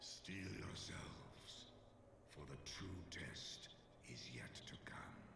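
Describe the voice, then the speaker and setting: A man whispers in a put-on character voice at a very slow pace, with clear echo and loud background noise. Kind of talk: archaic solemn speech. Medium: video game. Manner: grave, measured.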